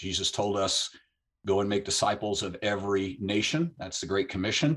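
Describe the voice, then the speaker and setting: Over a quiet background, a man talks in an ordinary speaking voice, fairly low in pitch with ordinary pitch variation. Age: 60s. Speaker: author and missions ministry leader. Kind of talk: interview on biblical prophecy.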